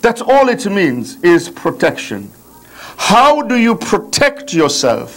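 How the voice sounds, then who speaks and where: Very slow speech from a high-pitched man, very wide pitch swings, and noticeable background noise. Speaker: religious lecturer. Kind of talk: religious lecture. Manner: slow, deliberate.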